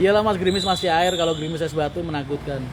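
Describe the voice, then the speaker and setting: The voice shows ordinary pitch variation while noticeable noise sits in the background. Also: man. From Tangerang / Jakarta area, Indonesia. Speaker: livestream host, bus company owner. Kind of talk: casual live-stream chat reading viewer comments.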